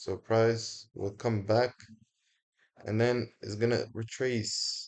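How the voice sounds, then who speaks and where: Against a quiet background, a man with a non-native accent speaks at a very slow pace and a fairly low pitch. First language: not English. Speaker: forex trader, video creator. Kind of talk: casual sign-off to viewers; screen-recorded trading tutorial. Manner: casual, informal; some halting and self-correcting.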